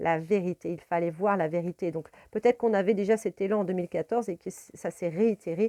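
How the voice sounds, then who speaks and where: A woman talks at a fairly quick pace with fairly even intonation and a medium pitch. Her tone is dark and mellow, and the sound is dry and close with no echo. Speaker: tarot card reader and spiritual guide. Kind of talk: tarot reading video monologue. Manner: hesitant, many fillers.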